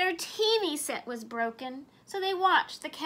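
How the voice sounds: Lively intonation runs through this natural reading voice.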